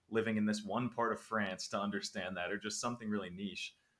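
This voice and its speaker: This man has a fairly low pitch and a bright, sharp tone. His pace is fairly quick. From United States. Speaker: language learning content creator. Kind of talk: interview conversation.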